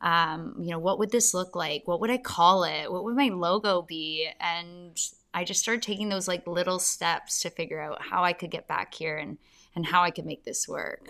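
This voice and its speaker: A woman with a Canadian accent and a normal speaking voice, fairly low in pitch, with ordinary pitch variation and a moderate pace, in a very clean recording with a silent background. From Canada, Ontario (London). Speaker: fitness studio owner. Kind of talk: casual interview.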